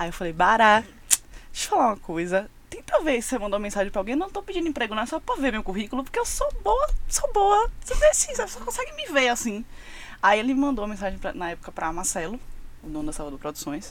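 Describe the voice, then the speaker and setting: Very fast speech from a woman over noticeable background noise. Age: 20s. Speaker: music communications agency partner. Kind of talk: casual chat.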